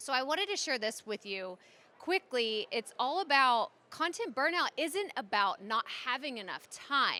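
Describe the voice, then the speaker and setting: A woman speaks in a raised, projected voice, high in pitch with very wide swings. Her tone is animated, bright and sharp, at a fairly slow pace. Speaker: podcaster and content strategist giving a conference talk. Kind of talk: conference presentation. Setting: stage with audience. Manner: loud.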